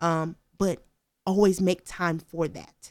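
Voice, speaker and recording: A woman speaks with an American accent in a fairly low voice. Her intonation is flat and monotone. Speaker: recent graduate. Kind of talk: casual chat.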